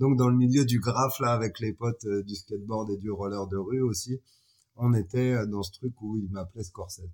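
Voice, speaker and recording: This man's pitch sits fairly low and his pace is moderate. He keeps his intonation fairly even. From France, Chalon-sur-Saône. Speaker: photographer and filmmaker. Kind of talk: casual interview.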